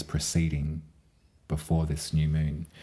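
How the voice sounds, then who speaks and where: A man speaks at a fairly slow pace with a very deep, low pitch. His tone is dark and mellow, and somewhat breathy. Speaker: astrologer and tarot reader. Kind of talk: astrology forecast monologue. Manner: rambling with fillers.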